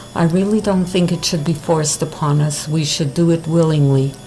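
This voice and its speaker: A woman in a Montreal accent, very deep and low in pitch, monotone and flat, over noticeable background noise. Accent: Montreal English-speaking Canadian. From Montreal, Quebec. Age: 70s. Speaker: interviewee. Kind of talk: street interview.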